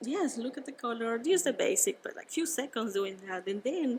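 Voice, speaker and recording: A high-pitched woman with a Spanish accent and very wide pitch swings. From Venezuela. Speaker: winemaker. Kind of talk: casual interview. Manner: halting, with repetitions.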